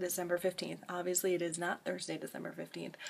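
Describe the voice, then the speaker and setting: A woman speaks. Her voice is quiet. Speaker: vlogger. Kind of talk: casual vlog talk to camera.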